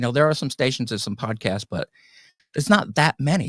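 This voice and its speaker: An American-accented man at medium pitch with lively intonation, dry and close sound without echo, and a very clean recording over a silent background. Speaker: podcast host, guest here. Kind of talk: interview. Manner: halting.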